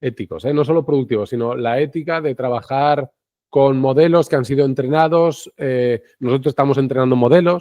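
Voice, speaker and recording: A man speaks in a fairly high pitch. His intonation stays fairly even. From Spain, Segovia. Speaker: citizen science project leader. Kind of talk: interview conversation. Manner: fast; halting, many restarts.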